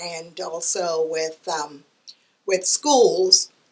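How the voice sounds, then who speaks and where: A woman with a Caribbean accent talks at a very slow pace, her pitch varying in an ordinary way. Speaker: divorce ministry volunteer speaker. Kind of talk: interview, personal testimony. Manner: hesitant, many fillers.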